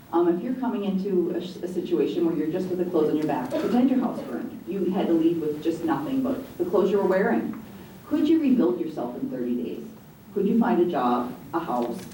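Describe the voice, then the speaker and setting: An American accent at a fairly quick pace, with very wide pitch swings, audible room echo, and noticeable background noise. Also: woman. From eastern US. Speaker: executive director of domestic violence shelter. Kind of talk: panel discussion. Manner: fast.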